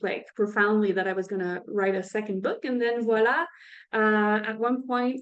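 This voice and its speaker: A woman with a French accent and fairly high pitch. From French-speaking (France or Quebec). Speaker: author and coach. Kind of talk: interview. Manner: halting.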